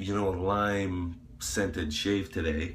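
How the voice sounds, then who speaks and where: At a fairly slow pace, a man with a very deep, low pitch talks in fairly even intonation, with audible room echo around him. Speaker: YouTuber reviewing shaving products. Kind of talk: casual vlog monologue. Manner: casual, rambling with fillers.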